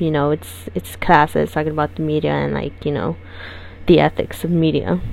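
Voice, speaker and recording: A woman speaks at a moderate pace in a very deep, low voice, her pitch swinging very widely over noticeable background noise. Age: 20s. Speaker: podcast host and journalism student. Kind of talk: solo podcast monologue.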